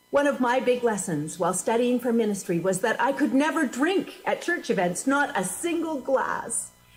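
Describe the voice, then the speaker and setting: A woman's high-pitched voice with very wide pitch swings, very even loudness, a moderate pace and hardly any pauses, over noticeable background noise. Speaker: minister. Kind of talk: sermon. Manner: animated.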